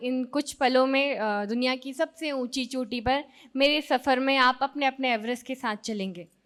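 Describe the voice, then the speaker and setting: Raised, projected high voice of a woman, bright and sharp in tone, in a very clean recording with a silent background. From Madhya Pradesh, Sehore district village. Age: 30s. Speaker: mountaineer. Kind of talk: motivational talk. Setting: stage with audience.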